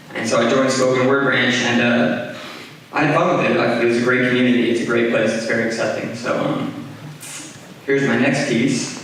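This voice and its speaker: Over noticeable background noise, a man talks fairly quickly at medium pitch with fairly even intonation. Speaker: spoken word poet. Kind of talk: casual talk to audience. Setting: live stage.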